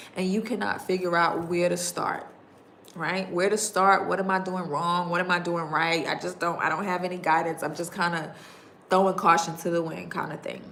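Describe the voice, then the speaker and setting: Someone with a New York accent talks at a fairly quick pace, with audible room echo. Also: woman. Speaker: digital marketing coach. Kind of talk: livestream talk to viewers. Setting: YouTube livestream. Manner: fast.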